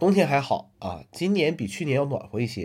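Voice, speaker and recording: A somewhat breathy man at a fairly quick pace. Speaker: solo podcaster. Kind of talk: casual weekly monologue. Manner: many filler sounds (呃, 嗯).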